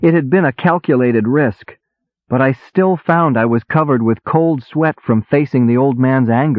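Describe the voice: Reading aloud plainly, pitch varying in an ordinary way, the background quiet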